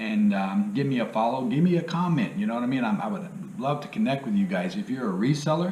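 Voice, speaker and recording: Speaking at a fairly quick pace, a man makes very wide pitch swings amid audible room echo. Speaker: part-time reseller, YouTuber. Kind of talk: casual video tutorial. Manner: casual, filler-heavy.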